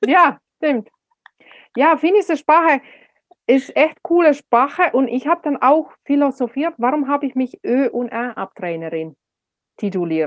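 A woman speaks at high pitch with very wide pitch swings, at a fairly slow pace broken by long, frequent pauses. The sound is dry and close, with no echo. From Finland. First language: Finnish (speaking German). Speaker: speaker and speech coach. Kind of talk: interview.

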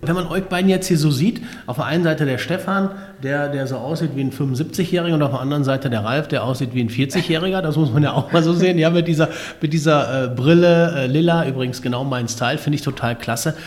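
A fairly high-pitched man talking at a very fast pace amid noticeable background noise. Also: ordinary pitch variation. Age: 40s. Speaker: podcast host. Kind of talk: interview.

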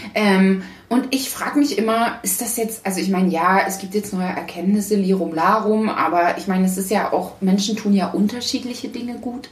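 Over noticeable background noise and audible room echo, a woman with a slight Thuringian accent speaks at a moderate pace. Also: medium pitch for a woman, ordinary pitch variation, hardly any pauses. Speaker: podcast co-host. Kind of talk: casual chat.

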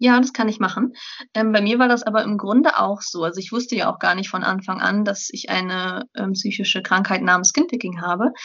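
A woman with an unremarkable speaking voice and fairly high pitch speaks at a moderate pace with ordinary pitch variation. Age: 20s. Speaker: student and blogger. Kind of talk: interview.

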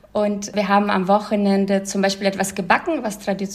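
A woman talks at a moderate pace with a medium-pitched voice. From former Soviet Union, moved to Germany at twelve. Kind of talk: interview. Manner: hesitant with fillers.

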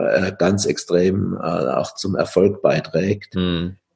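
Somewhat breathy, this man's voice carries a dark, mellow tone. His pitch is fairly low. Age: 70s. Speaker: coaching trainer and coach, former psychotherapist. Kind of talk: interview.

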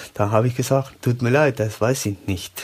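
Ordinary pitch variation marks a man speaking with a Spanish accent at a moderate pace. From Uruguay. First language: Spanish (speaking German). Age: 30s. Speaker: company employee, COVID survivor. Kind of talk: interview, personal testimony. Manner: halting.

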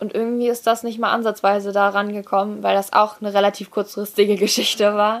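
A woman at medium pitch, very fast pace, hardly any pauses, monotone, flat intonation, very clean recording, silent background. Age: young (19-20). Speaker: dressage rider. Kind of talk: interview.

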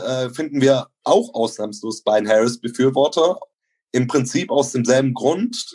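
This man's fairly high voice has ordinary pitch variation and a moderate pace. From Bavaria, Germany (Neu-Ulm). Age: 30s. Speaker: local party member. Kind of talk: interview. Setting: online call. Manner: formal.

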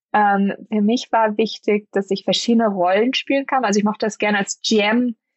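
A woman at medium pitch, moderate pace, monotone and flat in intonation. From northern Germany, Lüneburg. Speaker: business executive. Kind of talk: interview. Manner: halting, many fillers.

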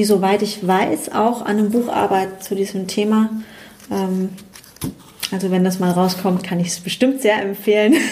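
Amid noticeable background noise, a woman speaks at a moderate pace with fairly even intonation and long, frequent pauses. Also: medium pitch for a woman. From Rhineland-Palatinate, near Bad Kreuznach. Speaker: psychologist and coach. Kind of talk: interview. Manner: hesitant, many fillers.

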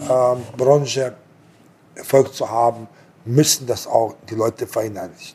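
A man talks at a very slow pace. His voice is somewhat breathy. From abroad, came to Germany at 18. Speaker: restaurant and hotel owner. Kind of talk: casual interview. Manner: halting, many repetitions and fillers.

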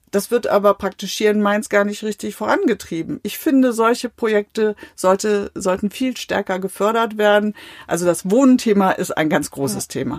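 A woman has an ordinary speaking voice, speaking at a moderate pace and medium pitch with ordinary pitch variation and hardly any pauses, the sound dry and close with no echo. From Westphalia, Germany. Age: 50s. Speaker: politician. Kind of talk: interview. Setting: small recording room.

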